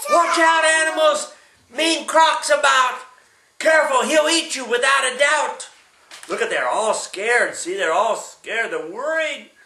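A man speaks in a raised, projecting voice with lively, sing-song intonation at a fairly slow pace, with audible room echo and light background noise. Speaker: great-grandfather reading to a child. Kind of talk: bedtime story reading aloud to a small child, with sound effects. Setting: at home, one-on-one with a small child. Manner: animated, playful; sing-song, asks the child questions, acts out animal sounds. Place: home room. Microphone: camera far.

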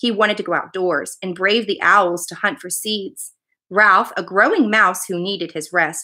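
The speaker is reading aloud in a natural voice over a quiet background.

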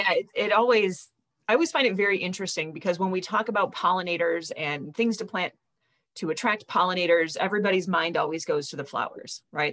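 A plain, everyday voice from a woman with an American accent, medium pitch, ordinary pitch variation and a fairly quick pace, over a quiet background. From US Midwest. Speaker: nonprofit webinar host. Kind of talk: webinar hosting. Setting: video call. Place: home room. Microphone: video call.

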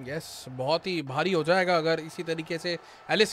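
There is light background noise behind this man as he talks. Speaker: cricket commentator. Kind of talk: live sports commentary. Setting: live stream. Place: studio. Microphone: studio mic.

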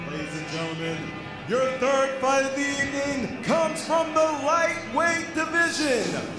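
A man speaks with music clearly audible in the background. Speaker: ring announcer. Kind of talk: combat sports ring announcing. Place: stage. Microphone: handheld.

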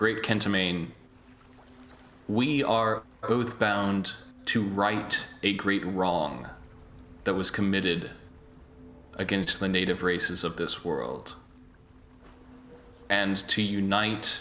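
A man in a put-on character voice speaks at a very slow pace with a fairly low pitch, leaving long, frequent pauses over clear background noise. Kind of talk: formal, archaic address. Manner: deferential, diplomatic.

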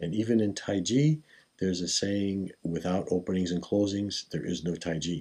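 A man talks with ordinary pitch variation at a moderate pace over a quiet background. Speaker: qigong teacher. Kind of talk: tutorial. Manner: formal. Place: home room. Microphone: camera far.

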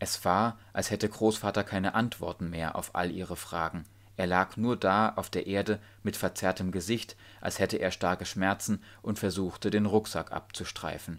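Speaking at a moderate pace, a man with a fairly low pitch is heard on a very clean recording with a silent background. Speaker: audiobook narrator. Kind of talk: audiobook reading of a children's story; dramatic narration with tense, suspenseful delivery. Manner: animated, varying pace and pitch for suspense.

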